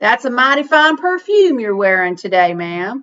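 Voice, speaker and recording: A woman puts on a high-pitched character voice with very wide pitch swings at a moderate pace. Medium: read story. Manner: courtly, gentle.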